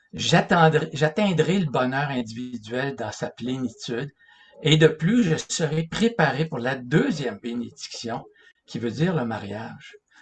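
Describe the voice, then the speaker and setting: A man talks at a fairly slow pace with lively intonation. His pitch sits fairly high. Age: 60s. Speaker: religious lecturer. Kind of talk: lecture. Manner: halting.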